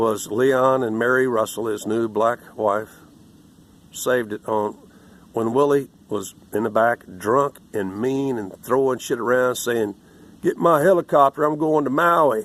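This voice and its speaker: A man with an American accent and an ordinary speaking voice, medium pitch, and a fairly slow pace. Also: ordinary pitch variation. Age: 60s. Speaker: political commentator. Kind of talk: angry commentary rant.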